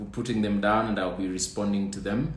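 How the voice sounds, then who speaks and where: A man's voice with audible room echo. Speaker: trichologist answering viewer questions. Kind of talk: live stream Q&A.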